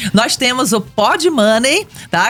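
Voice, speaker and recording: Speaking with a Rio de Janeiro accent, a woman uses a high pitch and lively intonation. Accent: Rio de Janeiro (carioca). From Brazil, Rio de Janeiro. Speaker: economics professor. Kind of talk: radio interview.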